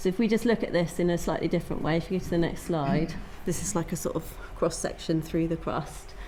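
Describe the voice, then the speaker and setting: A woman speaks at a fairly quick pace in a fairly low pitch, with audible room echo around her. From Cornwall (Penwith). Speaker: geologist. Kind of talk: lecture. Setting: talk event with audience.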